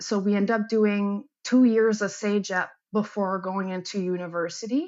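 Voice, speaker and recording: With a Quebec accent, a woman speaks at a medium pitch. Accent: Québécois French accent in English. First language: French. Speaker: athletic therapist and military reservist. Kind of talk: interview.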